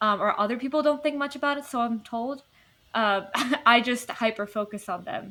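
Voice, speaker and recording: A woman with an American accent, high pitch, ordinary pitch variation, and a moderate pace. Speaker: podcast co-host. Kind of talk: casual chat. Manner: stutters and repeats words.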